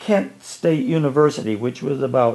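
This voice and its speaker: With an Ohio accent, a man speaks using lively intonation. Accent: Midwestern US (Ohio). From northeastern Ohio, Ashtabula County. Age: 80s+. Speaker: retired educator. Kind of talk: storytelling interview.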